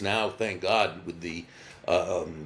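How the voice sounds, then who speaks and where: In a room with audible echo, a man speaks with a very deep, low pitch and ordinary pitch variation. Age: 60s. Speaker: business author. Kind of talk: interview. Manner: halting.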